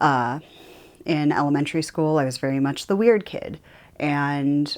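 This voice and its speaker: Against a silent background in a very clean recording, a woman speaks at a very deep, low pitch. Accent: American. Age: 30s. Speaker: YouTuber. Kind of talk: personal monologue to camera. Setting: home office. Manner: loud; casual, with fillers.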